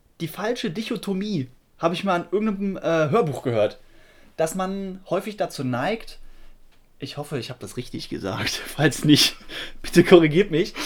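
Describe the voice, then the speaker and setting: High-pitched and with lively intonation, a man speaks at a moderate pace. His loudness swings widely, and he takes long, frequent pauses. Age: 20s. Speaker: podcast co-host, software worker. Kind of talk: casual chat.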